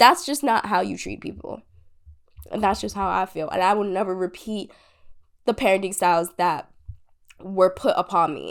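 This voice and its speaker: On a very clean recording with a silent background, a woman with vocal fry talks at medium pitch and a moderate pace, with big swings in loudness and long, frequent pauses. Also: ordinary pitch variation. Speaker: podcast host. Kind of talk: casual monologue.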